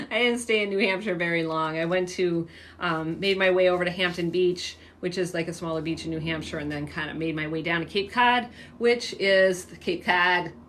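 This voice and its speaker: A woman with an American accent talks at a fairly quick pace in a fairly low pitch with ordinary pitch variation. Audible room echo surrounds her voice. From San Diego, California. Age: 50s. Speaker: fitness coach. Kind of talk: casual livestream chat. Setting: livestream. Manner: casual, filler-heavy.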